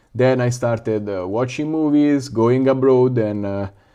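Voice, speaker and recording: With a strong Italian accent, a man of medium pitch speaks at a fairly slow pace in a dark, mellow tone with ordinary pitch variation. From Italy, northern Lazio. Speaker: FPV drone YouTuber. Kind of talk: livestream chat and build tutorial. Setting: live stream at home workshop. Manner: casual, hesitant with fillers.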